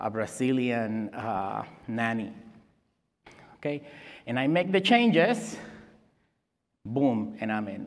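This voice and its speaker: A man with a Spanish accent speaks very slowly at a medium pitch with lively intonation, and room echo is audible. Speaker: security expert. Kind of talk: conference talk. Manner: halting.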